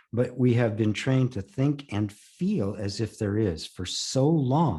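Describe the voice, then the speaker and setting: Against a quiet background, a man speaks with very wide pitch swings. His voice is somewhat breathy, with a dark, mellow tone. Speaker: spiritual teacher; former voice-over artist. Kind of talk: interview answer.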